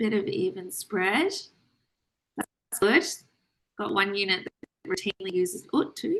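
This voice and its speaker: A woman's fairly high voice with very wide pitch swings, a fairly slow pace and long, frequent pauses, in a dry, close sound with no echo. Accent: Australian. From Australia. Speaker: trainee doctor presenting. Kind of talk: online lecture presentation.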